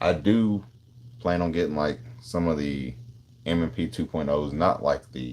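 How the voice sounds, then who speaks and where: A man with a Tennessee accent and lively intonation. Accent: Southern US (Tennessee). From Tennessee, Nashville. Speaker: gun streamer. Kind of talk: live stream chat. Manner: casual, slangy.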